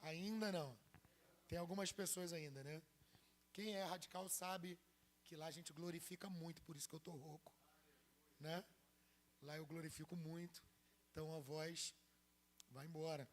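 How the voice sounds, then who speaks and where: A man's high voice at a moderate pace, with long, frequent pauses and fairly even intonation. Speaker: pastor. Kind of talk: sermon.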